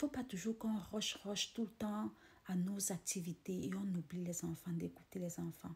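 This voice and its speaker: A woman's somewhat breathy voice moves along at a fairly slow pace. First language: not French (speaking French). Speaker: motivational vlogger. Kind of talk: casual motivational monologue. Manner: halting, repeating words.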